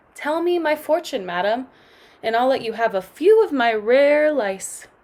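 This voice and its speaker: A woman puts on a character voice, pitched high. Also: moderate pace. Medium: read story. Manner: swaggering, gruff.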